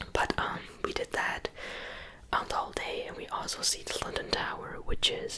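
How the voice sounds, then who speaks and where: Someone whispers at a moderate pace in an American accent, with noticeable background noise around them. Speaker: ASMR content creator. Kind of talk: whispered ASMR ramble to camera. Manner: whispered, soft-spoken.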